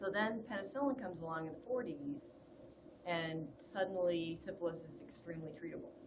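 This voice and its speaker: Very wide pitch swings and big swings in loudness come at a fairly quick pace, with noticeable background noise and audible room echo. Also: woman, medium pitch for a woman. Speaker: public health lecturer. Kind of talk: webinar lecture. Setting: online webinar. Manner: calm.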